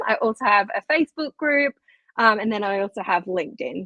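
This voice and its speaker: Lively intonation and an Australian accent mark this speech at a moderate pace. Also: woman. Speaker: occupational therapist. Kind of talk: podcast interview. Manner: hesitant, with filler words.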